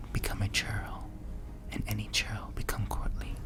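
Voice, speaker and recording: A man is whispering. Noticeable background noise sits behind him. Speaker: ASMR creator. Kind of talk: ASMR story reading, history narration. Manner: whispered, soft-spoken.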